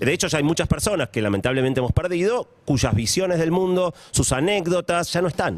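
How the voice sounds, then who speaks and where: A man with a Rioplatense accent speaks at a fairly quick pace and a high pitch, in an animated tone with lively intonation. His loudness stays very even. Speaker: science and technology columnist. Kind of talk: radio column chat.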